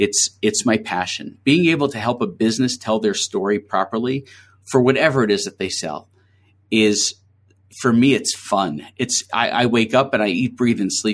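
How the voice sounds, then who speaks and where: A man with an American accent, medium pitch and ordinary pitch variation, at a moderate pace on a very clean recording with a silent background. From New York City (Queens). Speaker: agency founder. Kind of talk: interview.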